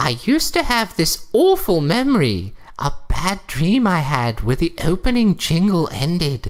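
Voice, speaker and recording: A put-on character voice at a middle pitch and a moderate pace, with hardly any pauses, on a very clean recording with a silent background. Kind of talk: comic deadpan reading. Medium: read story. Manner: prim, correcting.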